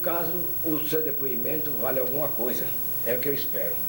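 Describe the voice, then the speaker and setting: Audible room echo surrounds a man's fairly high voice. His intonation is lively and his pace moderate. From Brazil, Natal (Rio Grande do Norte). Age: 70s. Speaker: retired judge and writer. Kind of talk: oral history interview testimony. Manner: halting.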